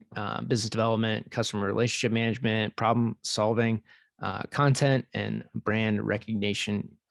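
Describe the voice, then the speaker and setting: A man with an American accent speaks at a moderate pace in a normal speaking voice, medium in pitch. The sound is dry and close, with no echo. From US West, central California. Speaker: podcast host. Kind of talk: reading guest introduction. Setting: video call.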